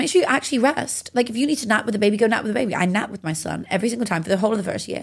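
A woman speaks at a fairly high pitch in an animated tone with lively intonation. Her pace is very fast, with hardly any pauses. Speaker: mindset coach and motivational speaker. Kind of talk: casual interview chat. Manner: loud, animated.

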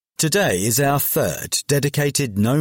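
This man's delivery is fairly slow. His pitch rises and falls over a very wide range. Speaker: matchday programme narrator. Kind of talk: reading aloud.

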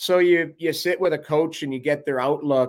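A man with a Canadian accent and a fairly high pitch talks in a normal speaking voice with ordinary pitch variation on a very clean recording with a silent background. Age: 50s. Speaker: former NHL goalie and hockey analyst. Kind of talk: casual chat.

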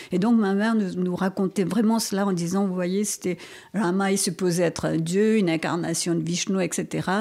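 A woman speaks with a dark, mellow tone at a moderate pace. Her intonation is fairly even and her loudness very even. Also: medium pitch for a woman. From Mauritius. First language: Mauritian Creole (speaking French). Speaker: novelist and poet. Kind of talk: interview.

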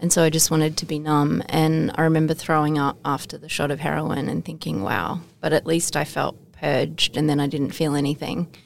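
A woman with an Australian accent and a very deep, low pitch, talking at a fairly quick pace with fairly even intonation and hardly any pauses, amid noticeable background noise. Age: 40s. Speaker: motivational speaker and charity founder. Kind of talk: interview testimony. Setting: studio.

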